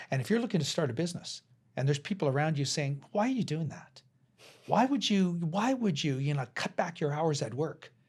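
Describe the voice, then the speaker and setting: Lively intonation from a man with a western Canadian accent, fairly quick, on a very clean recording with a silent background. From Canada, interior British Columbia. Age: 60s. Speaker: cross-cultural educator and entrepreneur. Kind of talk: podcast interview.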